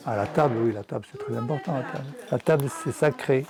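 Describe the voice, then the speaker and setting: A man speaks at a moderate pace in a fairly high voice as noticeable background noise carries on. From southwest France. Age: 80s+. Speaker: retired painter, grandfather. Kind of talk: casual chat.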